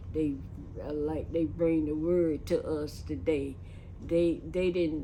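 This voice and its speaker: Very slow speech from a woman, amid audible room echo. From Lakeland, Florida. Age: 80s+. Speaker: church elder. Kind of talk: oral history interview. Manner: halting.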